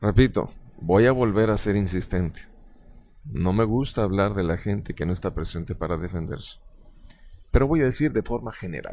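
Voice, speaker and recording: Pitched fairly low, a man with a dark, mellow tone and lively intonation speaks at a moderate pace, leaving long, frequent pauses. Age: 30s. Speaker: stage hypnotist. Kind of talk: interview. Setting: theater backstage. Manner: formal.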